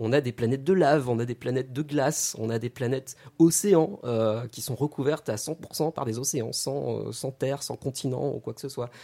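A man speaks with hardly any pauses. His tone is dark and mellow. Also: medium pitch for a man, ordinary pitch variation, moderate pace. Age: 30s. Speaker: astrophysicist and science YouTuber. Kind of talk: radio interview.

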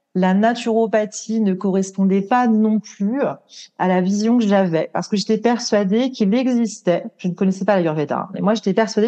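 A woman's dark, mellow, medium-pitched voice at a moderate pace with fairly even intonation. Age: 40s. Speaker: ayurveda consultant. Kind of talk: interview. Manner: hesitant, many fillers.

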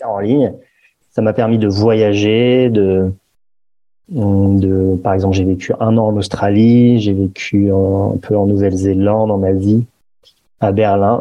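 A man speaks at a very slow pace with long, frequent pauses and very even loudness. His fairly low voice carries a monotone, flat intonation. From Paris, France. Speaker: entrepreneur, meditation app founder. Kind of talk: podcast interview.

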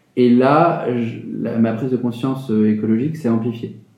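Amid audible room echo, a man speaks in a medium pitch with fairly even intonation. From France, Moselle (Metz). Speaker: think tank director. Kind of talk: interview. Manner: hesitant, many fillers.

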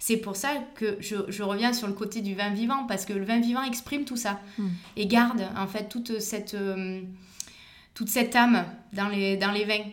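A woman talks at a fairly high pitch with fairly even intonation and a moderate pace. Noticeable background noise and audible room echo surround her voice. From Provence, southern France (Vaucluse). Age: 30s. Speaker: winegrower. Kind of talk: interview. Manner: hesitant, many fillers.

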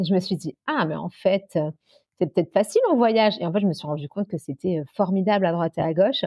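Delivered in a plain, everyday voice, the speech moves at a fairly quick pace with ordinary pitch variation. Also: woman, medium pitch for a woman. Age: 30s. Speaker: nurse and travel blogger with coeliac disease. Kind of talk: casual interview.

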